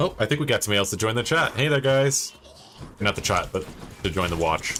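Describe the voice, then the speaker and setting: This man talks at a very fast pace with very wide pitch swings and very even loudness. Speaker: video game streamer. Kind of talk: live gameplay stream commentary. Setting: live stream with chat. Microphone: new mic, not fully set up.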